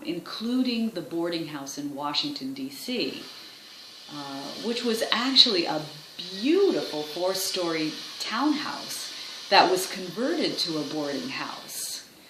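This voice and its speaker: Noticeable background noise sits behind a woman speaking at a fairly low pitch and fairly slow pace. Her pitch swings very widely, and her loudness shifts a great deal. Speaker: voice actor. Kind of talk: documentary-style historian narration, explanatory.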